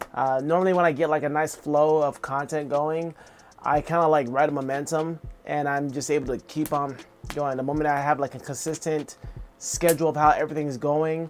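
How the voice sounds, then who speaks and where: Music plays in the background. The talking moves at a fairly quick pace. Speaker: art vlogger and streamer. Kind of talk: casual vlog monologue. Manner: halting, many fillers; unconfident.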